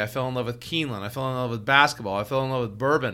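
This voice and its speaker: A man speaks loudly with an American accent. His tone is bright and sharp. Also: very clean recording, silent background. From Seattle. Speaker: financial advisor, podcast co-host. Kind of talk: casual chat.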